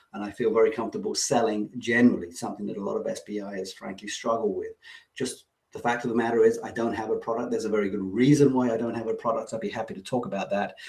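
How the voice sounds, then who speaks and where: A man speaks with an English accent. His pace is very fast. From England. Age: 50s. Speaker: online business coach. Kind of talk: webinar presentation. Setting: online webinar.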